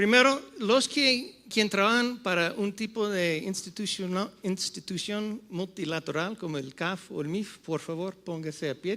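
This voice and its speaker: Using a raised, projected voice, a man with an English-speaking accent talks at a fairly slow pace with hardly any pauses, his high pitch showing ordinary variation and a bright, sharp tone. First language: English (speaking Spanish). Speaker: panel moderator, economic consultant. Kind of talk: conference panel talk. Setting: stage with audience. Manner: halting, switching between English and Spanish.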